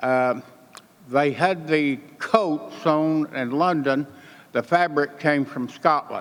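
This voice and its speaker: At a very slow pace, a man with an American accent speaks in a fairly high pitch. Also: ordinary pitch variation. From Oklahoma. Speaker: war veteran. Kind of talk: speech. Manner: soft-spoken.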